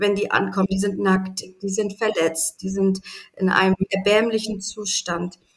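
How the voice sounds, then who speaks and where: A woman's medium-pitched, fairly slow delivery in a normal speaking voice. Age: 30s. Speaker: animal sanctuary founder. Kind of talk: interview.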